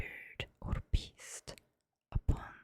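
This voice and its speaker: A woman whispers in a calm, soothing tone. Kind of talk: ASMR poetry reading. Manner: whispered, calm, soothing.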